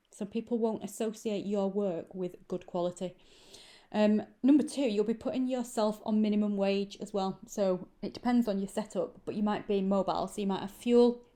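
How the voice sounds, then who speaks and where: The speaker has a northern English accent and a dark, mellow tone. The pace is moderate and the intonation fairly even. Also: woman, medium pitch for a woman. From northern England, Manchester. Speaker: lash extension trainer. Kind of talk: tutorial. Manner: casual, conversational with fillers.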